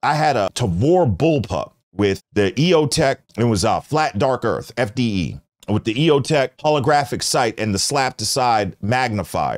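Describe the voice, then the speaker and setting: Over a quiet background, a man with vocal fry talks at a fairly slow pace with lively intonation. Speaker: livestream host. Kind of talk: casual livestream commentary. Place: studio. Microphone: studio mic.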